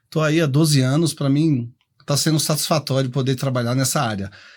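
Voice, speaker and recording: Somewhat breathy and fairly high pitched, a man speaks at a fairly quick pace in a very clean recording with a silent background. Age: 60s. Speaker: professional condo manager. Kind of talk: podcast interview.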